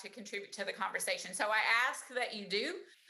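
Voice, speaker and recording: A woman speaks with a fairly high pitch. Room echo is audible around her voice. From Central Appalachia, Luttrell, Tennessee. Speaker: university professor. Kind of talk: online presentation. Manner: casual, conversational.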